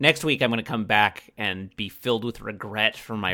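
This man has a normal speaking voice, pitched fairly low and delivered at a moderate pace. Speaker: podcast co-host. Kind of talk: casual chat.

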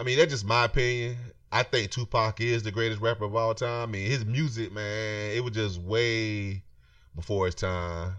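Against a quiet background, a man speaks at a moderate pace. His voice sits at medium pitch with fairly even intonation. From Florida, US South. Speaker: podcast host. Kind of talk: casual solo monologue. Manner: casual, profane.

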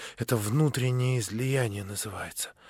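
The reading voice here is unforced.

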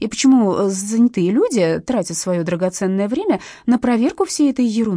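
What you hear is a natural reading voice.

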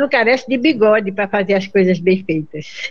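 With a Pernambuco sertão accent, a woman talks with lively intonation. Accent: Pernambuco sertanejo Northeastern Brazilian. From Brazilian Northeast, Salgueiro, Pernambuco sertão. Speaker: accordionist and singer. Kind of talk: interview. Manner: halting, repeats words.

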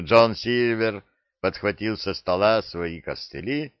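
The clip is a plain read-aloud with ordinary pitch variation. Nothing much can be heard behind it.

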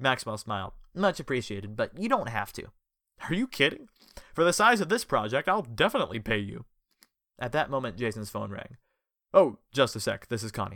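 A man's bright, sharp voice at medium pitch, with very wide pitch swings, a fairly quick pace and long, frequent pauses, on a very clean recording with a silent background. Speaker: fanfiction reader and podcast host. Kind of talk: audiobook reading of fanfiction. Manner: measured narrator, even pacing, storytelling tone.

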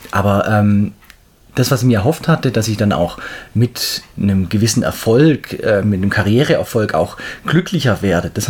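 With a slight Swabian accent, a man speaks in a fairly low pitch and lively intonation. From Swabia, near Stuttgart. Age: 30s. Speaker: architect planning a world trip. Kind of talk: casual interview. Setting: living room, on a couch.

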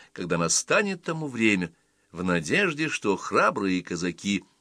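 The background is quiet. This is a natural reading voice.

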